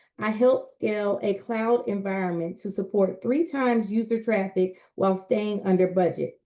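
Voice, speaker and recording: With an ordinary speaking voice, a woman talks at a moderate pace in a fairly high pitch with ordinary pitch variation. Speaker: communication specialist and public speaker. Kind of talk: presentation.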